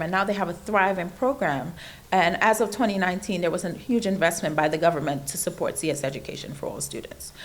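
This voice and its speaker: Woman in a Trinidadian accent, medium pitch, ordinary pitch variation, moderate pace. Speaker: invited speaker on computer science education. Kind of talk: speech to an audience.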